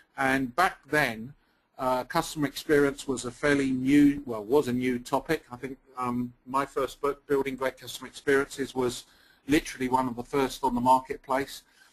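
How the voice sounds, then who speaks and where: With a flat, monotone intonation, a man talks at a medium speed. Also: medium pitch for a man. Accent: English. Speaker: company founder and CEO. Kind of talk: webinar presentation. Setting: webinar call. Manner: hesitant, many fillers.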